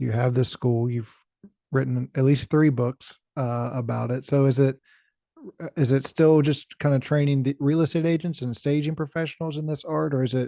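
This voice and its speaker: A man with an American accent, a fairly high pitch, a dark, mellow tone and fairly even intonation, at a fairly slow pace in a dry, close sound with no echo. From rural West Virginia. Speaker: podcast host. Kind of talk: interview.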